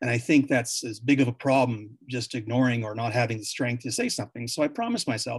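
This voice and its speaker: A man with a Canadian accent talks at a very fast pace and medium pitch. His voice is somewhat breathy, his intonation monotone and flat. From Canada, Yukon, Whitehorse. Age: 50s. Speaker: former mayor. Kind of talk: panel discussion. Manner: halting, frequent repetitions.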